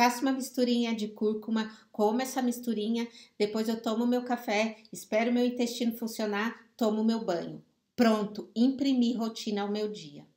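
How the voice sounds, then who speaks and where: At a moderate pace, a woman with an unremarkable speaking voice and a fairly high pitch is talking. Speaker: life coach. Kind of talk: live stream talk.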